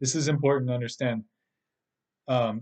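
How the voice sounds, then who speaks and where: A man with a normal speaking voice, medium pitch and fairly even intonation, in a dry, close sound with no echo and a quiet background. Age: 30s. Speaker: podcast host and spiritual teacher. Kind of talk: monologue podcast. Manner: casual, with filler words and repetitions.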